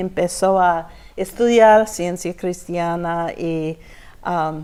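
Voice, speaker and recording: A woman with an English accent speaks at a very slow pace in a dark, mellow tone with ordinary pitch variation, on a very clean recording with a silent background. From Texas. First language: English (speaking Spanish). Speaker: church member giving testimony. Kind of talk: testimony interview. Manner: halting, searching for words.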